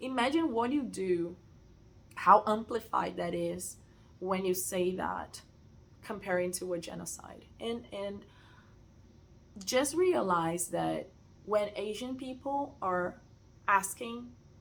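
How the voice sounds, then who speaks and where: The speech, in a Portuguese accent, goes at a very slow pace with long, frequent pauses. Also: woman, medium pitch for a woman, lively intonation. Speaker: sewing content creator. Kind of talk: casual rant. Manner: hesitant, many fillers.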